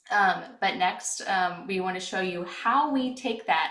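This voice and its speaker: A woman with a medium pitch speaks with lively intonation amid noticeable background noise and audible room echo. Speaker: webinar host, product manager. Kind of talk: webinar presentation. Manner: soft-spoken; hesitant, many fillers.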